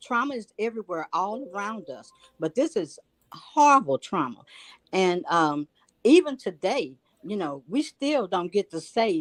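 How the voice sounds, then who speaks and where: A woman's pitch swings very widely. The sound is dry and close, with no echo. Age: 60s. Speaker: viewer joining live panel. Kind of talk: emotional testimony. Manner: animated.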